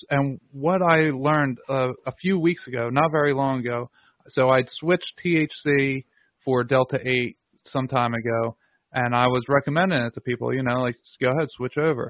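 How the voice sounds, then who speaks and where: Here is a man with a plain, everyday voice at a medium pitch and a moderate pace. His intonation stays fairly even while his loudness swings widely. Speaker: podcast host. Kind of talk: interview conversation.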